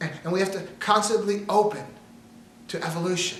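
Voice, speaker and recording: The speaker's tone is animated, at a moderate pace. Audible room echo and noticeable background noise come through. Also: man. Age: 60s. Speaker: motivational speaker. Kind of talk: motivational talk. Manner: repetitive, stammering restarts.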